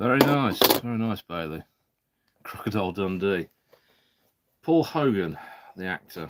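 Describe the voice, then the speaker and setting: A man's fairly low voice with a British accent, lively intonation and a moderate pace, broken by long, frequent pauses, in a dry, close sound with no echo. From Britain. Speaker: live streamer opening card packs. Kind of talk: casual live stream chat. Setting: live stream.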